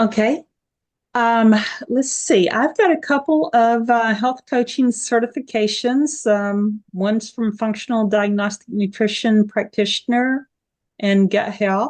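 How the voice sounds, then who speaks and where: The speaker has an Appalachian accent and a fairly slow pace. Loudness stays very even, with ordinary pitch variation. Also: woman, fairly high pitch for a woman. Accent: mountain Appalachian. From Appalachian Virginia, Tennessee border. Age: 60s. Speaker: health coach. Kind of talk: casual interview chat.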